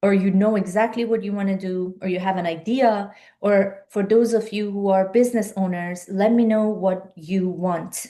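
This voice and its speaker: Someone with a Persian accent speaks at a moderate pace with hardly any pauses. The tone is dark and mellow, the intonation monotone and flat. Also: woman, medium pitch for a woman. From Iran. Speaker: life and business coach. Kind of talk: live-stream webinar talk. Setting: live video stream.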